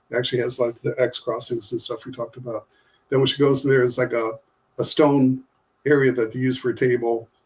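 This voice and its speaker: At a very fast pace, a man talks at a medium pitch in a somewhat breathy voice. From US Midwest (Ohio). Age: 60s. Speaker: author and artist. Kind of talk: casual podcast interview. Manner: halting, many fillers.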